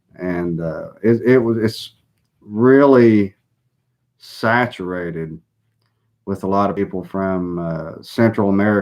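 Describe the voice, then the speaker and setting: A man speaks with a Southern US accent at a fairly low pitch and a very slow pace, leaving long, frequent pauses. His pitch varies in an ordinary way, and the recording is very clean with a silent background. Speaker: political commentator. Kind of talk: live stream monologue. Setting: live broadcast.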